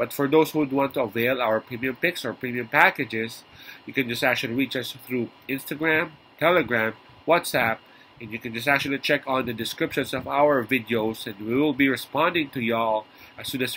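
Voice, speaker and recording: There is light background noise behind a man's bright, sharp tone. His pitch is medium and he talks at a fairly quick pace. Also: ordinary pitch variation. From Philippines. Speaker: sports betting tipster. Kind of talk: vlog monologue. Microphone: webcam.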